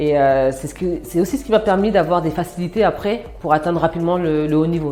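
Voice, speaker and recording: With music playing in the background, a woman speaks at a moderate pace with fairly even intonation. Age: 30s. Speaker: former basketball player, sports manager. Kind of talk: interview testimony. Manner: frequent hesitations (euh).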